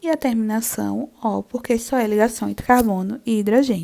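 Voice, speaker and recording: A woman speaks at a fairly slow pace with a dark, mellow tone. The recording is very clean with a silent background. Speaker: chemistry teacher. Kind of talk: lecture. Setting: video lesson.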